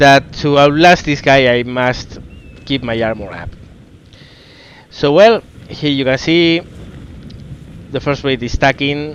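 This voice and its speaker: There is noticeable background noise as a man talks at a fairly slow pace with a fairly high pitch. He uses ordinary pitch variation and long, frequent pauses. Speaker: gaming commentator. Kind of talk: gameplay commentary. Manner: casual, hesitant.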